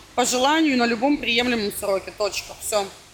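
There is noticeable background noise behind this woman. Her pitch is high and her pace is moderate. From Russia. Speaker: blogger and student. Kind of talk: casual interview chat.

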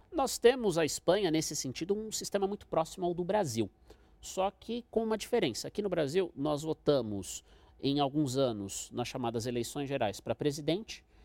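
At a fairly quick pace, a man speaks with very wide pitch swings in a very clean recording with a silent background, the sound dry and close with no echo. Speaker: international relations professor. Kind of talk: expert interview.

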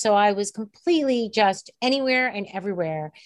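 A woman with an unremarkable speaking voice talks at a moderate pace with medium pitch and ordinary pitch variation against a quiet background. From New York, Puerto Rican heritage. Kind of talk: interview.

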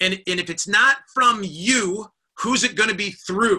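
A man speaks in a raised, projected voice with a bright, sharp tone and fairly even intonation. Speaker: leadership coach and network marketing leader. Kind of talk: weekly motivational live stream talk. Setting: live Zoom video stream. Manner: fast.

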